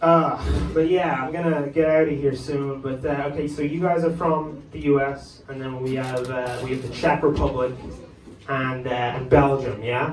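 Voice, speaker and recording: A man with an American accent speaks at a moderate pace in a fairly high pitch, his intonation fairly even, with noticeable background noise and audible room echo. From Ireland, Dublin. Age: 20s. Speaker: stand-up comedian. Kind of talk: stand-up. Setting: comedy club stage with audience. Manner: halting, filler words.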